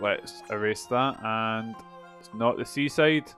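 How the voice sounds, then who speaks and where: The speaker has a Scottish accent and ordinary pitch variation. Music plays in the background. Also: man. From Scotland. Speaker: game streamer. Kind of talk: thinking aloud while solving a puzzle.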